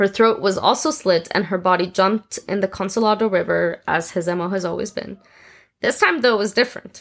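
A woman speaks in a normal speaking voice at medium pitch. Her pace is fairly quick, with ordinary pitch variation. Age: 20s. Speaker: true crime podcast host. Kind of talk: reading aloud; casual chat.

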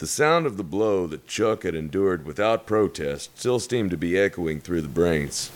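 Lively intonation in a natural reading voice

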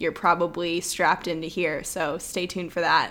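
Talking at a fairly quick pace, a woman has a plain, everyday voice with medium pitch. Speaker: podcast co-host. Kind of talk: casual podcast conversation.

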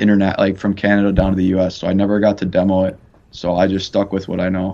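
Speaking with an American accent, a man keeps a fairly low pitch. His pace is fairly quick. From Chicago. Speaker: college hockey goalie. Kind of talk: interview.

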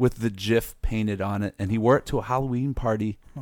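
A plain, everyday voice from a man at medium pitch and a fairly quick pace, in a very clean recording with a silent background. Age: 30s. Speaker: teacher. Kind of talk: casual chat.

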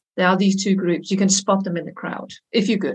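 The speech is somewhat breathy and moderate in pace, with a Danish accent. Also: woman. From Denmark. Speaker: consultant and language teacher. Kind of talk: casual interview.

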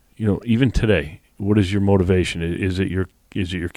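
Over a silent background on a very clean recording, a man speaks fairly quickly at a fairly low pitch in a dark, mellow tone with ordinary pitch variation. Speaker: podcast host interviewer. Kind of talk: interview conversation.

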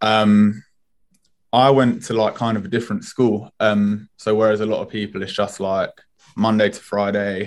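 Monotone, flat intonation comes from a man with a fairly low pitch. He keeps a moderate pace. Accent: British. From Spain, then England from age ten. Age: 20s. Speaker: streetwear brand founder. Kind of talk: podcast interview.

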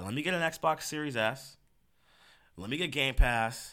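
A man talks in an animated, bright, sharp tone at a medium pitch with vocal fry. The recording is very clean with a silent background. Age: 20s. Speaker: gaming podcast host. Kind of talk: casual solo podcast monologue.

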